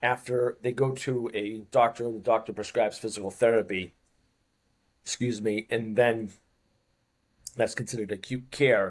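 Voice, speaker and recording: A man talks with a Boston accent at medium pitch. His intonation stays fairly even, and he leaves long, frequent pauses. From US Northeast, Boston. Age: 50s. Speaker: fitness coach. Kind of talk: interview. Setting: studio.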